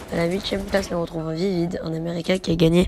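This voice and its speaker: A woman's fairly low voice in a monotone, flat intonation at a moderate pace, with music in the background. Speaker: gaming youtuber. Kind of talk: video countdown commentary.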